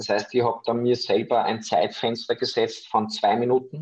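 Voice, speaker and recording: At a moderate pace, a man speaks in an Austrian accent. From Austria, Vienna area. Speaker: professional freediver. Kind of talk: interview.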